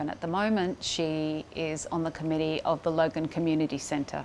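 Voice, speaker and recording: A woman speaks in a normal speaking voice. Her pitch is fairly low, and her pace is moderate. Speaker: interviewer. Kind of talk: interview introduction.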